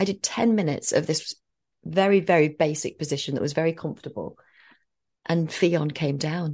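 This woman has a normal speaking voice. It sits fairly low in pitch with ordinary pitch variation. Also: moderate pace. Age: 40s. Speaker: podcast co-host and mother sharing birth story. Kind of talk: casual chat.

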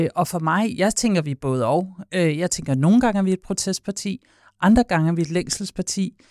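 At a moderate pace and medium pitch, a woman with an unremarkable speaking voice talks with ordinary pitch variation on a very clean recording that is dry and close, with no echo and a silent background. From Copenhagen, Denmark. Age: 40s. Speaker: party leader. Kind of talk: interview. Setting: studio.

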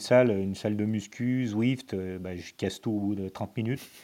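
A man speaks at a fairly slow pace and medium pitch. His tone is dark and mellow, with ordinary pitch variation. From Lyon, France. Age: 40s. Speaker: amateur ultra-distance cyclist, electrical business owner. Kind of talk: casual chat. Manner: calm.

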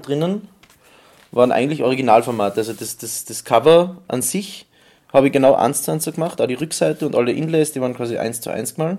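In a normal speaking voice, a man moves at a fairly quick pace. His medium pitch varies in an ordinary way. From Styria, Austria. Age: 20s. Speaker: visual artist. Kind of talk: interview.

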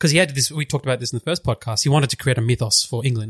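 Recorded very cleanly with a silent background, a man speaks at a medium pitch with a somewhat breathy sound. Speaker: podcast co-host. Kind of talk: casual chat.

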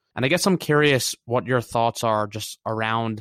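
This man's voice sits at a medium pitch, moving at a moderate pace with a dry, close sound and no echo. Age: 20s. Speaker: podcast host. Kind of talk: casual interview. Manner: animated.

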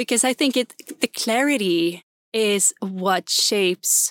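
A woman with a Swedish accent and fairly high pitch, speaking at a very slow pace, in a dry, close sound with no echo on a very clean recording with a silent background. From Sweden, Gotland. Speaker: entrepreneur, former political communicator. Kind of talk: interview conversation.

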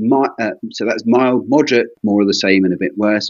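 A man with an ordinary speaking voice talks at a fairly quick pace, keeping a fairly low pitch and fairly even intonation. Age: 50s. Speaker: consultant eye surgeon. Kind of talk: teaching interview.

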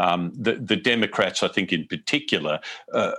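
A man with an Australian accent speaks at a very deep, low pitch with ordinary pitch variation. His tone is bright and sharp. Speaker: foreign correspondent. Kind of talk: interview. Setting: remote call. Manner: halting.

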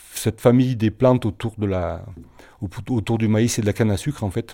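The tone is dark and mellow, with fairly even intonation. The pace is moderate, and the recording is very clean with a silent background. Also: man. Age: 50s. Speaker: organic cattle farmer. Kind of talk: testimony. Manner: halting.

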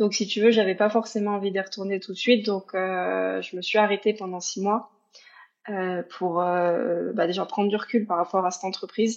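A woman speaks in an ordinary speaking voice at a moderate pace, her medium pitch carried by fairly even intonation. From Paris region, France. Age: 30s. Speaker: single mother. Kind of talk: personal testimony interview.

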